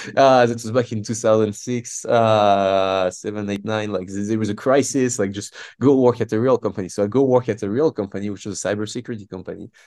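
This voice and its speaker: A fairly low-pitched man with a French accent at a fairly quick pace, hardly any pauses, against a quiet background. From France. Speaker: startup founder and CEO. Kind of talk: interview. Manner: animated; halting.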